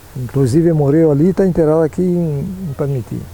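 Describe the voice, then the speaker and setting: Fairly high male voice at a moderate pace, over noticeable background noise. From Rio Grande do Sul, Brazil. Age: 80s+. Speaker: elderly local resident. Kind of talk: interview testimony.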